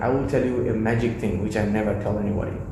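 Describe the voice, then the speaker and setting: A man with a non-native accent speaks at a fairly low pitch and with fairly even intonation. There is audible room echo and noticeable background noise. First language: not English. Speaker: mentor and scholarship founder. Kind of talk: interview conversation.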